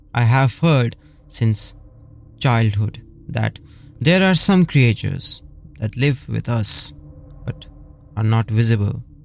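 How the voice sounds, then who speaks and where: Music plays in the background while a man talks at a very slow pace. His pitch is medium, with ordinary variation. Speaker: horror story narrator. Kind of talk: horror story narration. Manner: chilling, dramatic.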